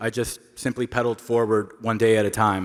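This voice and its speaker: Speaking at a moderate pace, a man keeps his intonation monotone and flat. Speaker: award honoree, long-distance cyclist. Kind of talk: acceptance speech. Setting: stage with audience at awards ceremony.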